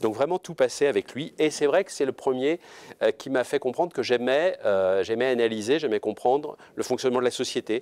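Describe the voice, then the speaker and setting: A man speaks at a fairly quick pace with medium pitch. His pitch varies in an ordinary way, in a dry, close sound with no echo. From France, Orléans. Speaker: law professor. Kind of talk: interview. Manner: hesitant, many fillers.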